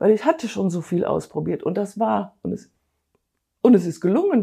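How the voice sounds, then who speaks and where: A woman talks at a moderate pace with vocal fry in a dark, mellow tone. Her intonation is lively. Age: 60s. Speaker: weight-loss program participant. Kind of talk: interview testimony.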